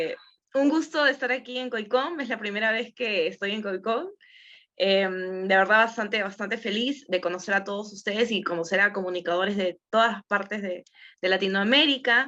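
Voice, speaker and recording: Behind the voice, everything is quiet. Words come at a moderate speed, and the pitch rises and falls in an ordinary way. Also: woman, medium pitch for a woman. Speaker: TV presenter and actress. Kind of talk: workshop talk. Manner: casual, hesitant.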